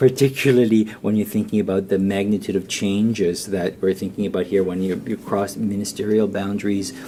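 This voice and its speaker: Soft-spoken and dark, mellow in tone, a man talks at a fairly quick pace with hardly any pauses and fairly even intonation. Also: fairly low pitch for a man. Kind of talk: conference presentation. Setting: round table event with audience. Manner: halting, many fillers and repeats.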